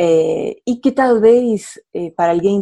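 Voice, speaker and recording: A woman speaks with a strong Spanish accent and lively intonation. Her tone is dark and mellow against a quiet background. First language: Spanish (speaking Portuguese). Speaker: international relations professor, widow of a diplomat. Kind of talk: radio interview. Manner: halting, repeats words, mixes Spanish and Portuguese.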